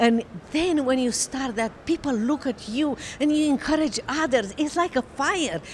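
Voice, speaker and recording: A woman with a high pitch speaks at a moderate pace. Her pitch varies in an ordinary way, with noticeable background noise present. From Romania. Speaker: author and attorney. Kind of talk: interview testimony. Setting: convention. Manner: halting.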